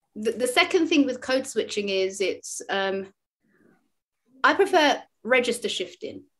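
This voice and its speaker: In a London accent, the voice moves at a fairly slow pace with very wide pitch swings and long, frequent pauses. The recording is very clean, with a silent background. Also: woman, high pitch for a woman. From London, England. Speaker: speech and language therapist. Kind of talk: interview answer.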